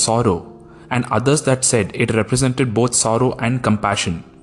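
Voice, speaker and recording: A man speaks in a Tamil accent at a medium pitch. His pace is fairly quick. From India, Tamil-speaking. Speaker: podcast host, film reviewer. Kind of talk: scripted podcast review.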